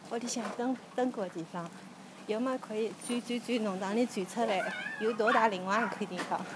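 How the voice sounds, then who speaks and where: Over noticeable background noise, a woman talks at a fairly quick pace. Her pitch is fairly high, with ordinary variation. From Shanghai suburbs. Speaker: podcaster guiding a neighbourhood walk. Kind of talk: narrated walking tour and personal recollection.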